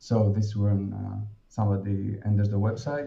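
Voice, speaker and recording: With a Greek accent, a man speaks in a dark, mellow tone at a fairly slow pace. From Greece. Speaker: dentist presenting a web design project. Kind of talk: project presentation. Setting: online virtual event with screen share. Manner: halting, many fillers.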